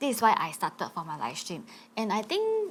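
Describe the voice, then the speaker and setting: This woman talks at a moderate pace with a somewhat breathy quality. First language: not English. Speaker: actress and live streamer. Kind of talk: panel discussion. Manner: halting.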